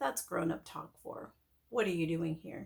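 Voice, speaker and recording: Putting on a character voice, a woman speaks raspy and fairly low at a moderate pace. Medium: read story.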